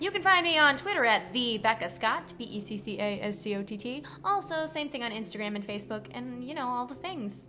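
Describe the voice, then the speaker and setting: Very wide pitch swings and big swings in loudness mark this fairly quick delivery with hardly any pauses, set against noticeable background noise. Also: woman, fairly high pitch for a woman. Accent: American. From Kansas City, Missouri. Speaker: actor and host. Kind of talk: casual chat.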